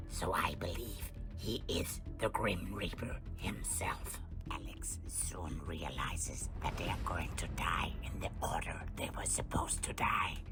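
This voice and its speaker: Over loud music in the background, a cartoonish character voice talks at a fairly slow pace. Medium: puppet.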